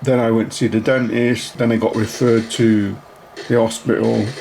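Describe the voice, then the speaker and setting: Over noticeable background noise, a man with a medium-pitched voice talks at a fairly slow pace. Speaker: YouTuber. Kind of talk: casual channel update vlog. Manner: hesitant, many ums.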